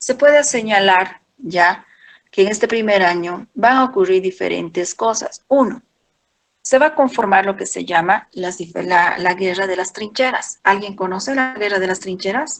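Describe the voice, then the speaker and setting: At a fairly slow pace, a woman talks in an ordinary speaking voice, medium in pitch with ordinary pitch variation. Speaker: history teacher. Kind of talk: lecture.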